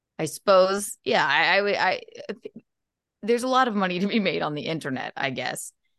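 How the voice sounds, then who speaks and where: A woman with an American accent speaks at a medium pitch with very wide pitch swings over a quiet background. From South Carolina. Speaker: comedian and podcaster. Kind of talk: casual chat.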